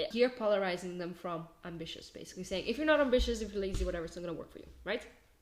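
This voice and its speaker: With a non-native accent, a woman rattles along at a very fast pace with hardly any pauses, her medium-pitched voice lively in intonation and swinging widely in loudness. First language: not English. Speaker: marketing agency owner and business coach. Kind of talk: casual tutorial. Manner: halting, many fillers and self-corrections.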